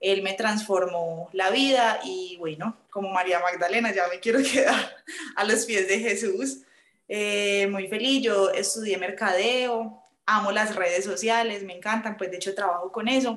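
This is a normal speaking voice from a woman. Her pitch is medium with ordinary pitch variation. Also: fairly slow pace. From Colombia, Medellín. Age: 20s. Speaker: aspiring nun. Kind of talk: testimony.

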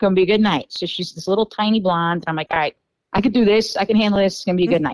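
A woman with an American accent talks at a very fast pace, her medium pitch varying in an ordinary way. Her loudness swings a lot, and the sound is dry and close with no echo. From New York. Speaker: podcast guest telling dating stories. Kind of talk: casual chat.

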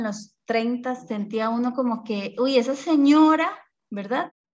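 This woman's voice sits at a high pitch. Its pitch varies in an ordinary way. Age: 30s. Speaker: podcast host and mother. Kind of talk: casual chat. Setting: video call.

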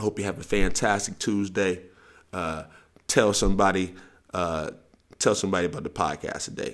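A man talks at a moderate pace in a very deep, low pitch. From US South. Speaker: sports coach and podcast host. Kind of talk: casual monologue podcast. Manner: animated.

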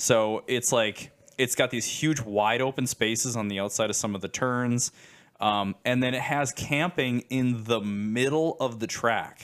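A man speaks in an unremarkable speaking voice at a medium pitch with fairly even intonation. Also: fairly slow pace. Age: 30s. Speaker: podcast co-host. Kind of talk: casual chat.

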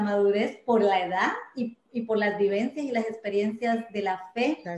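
A woman with a normal speaking voice talks at a fairly slow pace, her fairly high pitch held in fairly even intonation. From Colombia, Medellín. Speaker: church volunteer giving testimony. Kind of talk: testimony.

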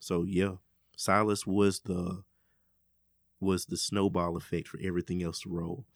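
With an Alabama accent, a man speaks at a very deep, low pitch and fairly even intonation. His pace is moderate with long, frequent pauses, and the sound is dry and close with no echo. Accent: US South (Alabama). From Birmingham, Alabama. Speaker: music producer. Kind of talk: casual interview. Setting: studio.

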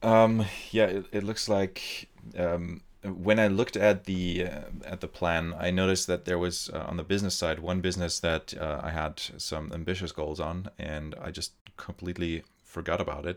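Very deep, low male pitch with a German accent and fairly even intonation. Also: moderate pace. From Germany. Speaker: podcast host. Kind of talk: casual chat.

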